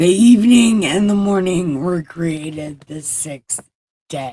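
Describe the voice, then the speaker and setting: A put-on character voice sits at a middle pitch. Its delivery is fairly slow. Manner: solemn, authoritative.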